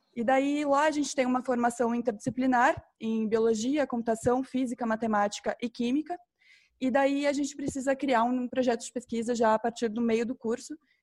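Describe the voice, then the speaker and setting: A high-pitched woman speaks at a moderate pace in a very clean recording with a silent background and a dry, close sound with no echo. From Campo Grande, Mato Grosso do Sul, Brazil. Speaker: graduate researcher. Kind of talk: panel discussion.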